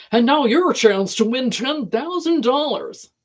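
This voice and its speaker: Pitched high, a put-on character voice moves at a fairly slow pace. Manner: loud, scream-like, bright announcer delivery.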